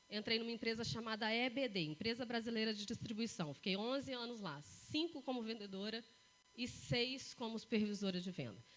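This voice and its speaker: Speech comes at a fairly quick pace. Its pitch shifts in an ordinary way. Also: woman. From Brazil, Três Corações, Minas Gerais. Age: 40s. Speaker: motivational speaker. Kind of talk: talk to live audience.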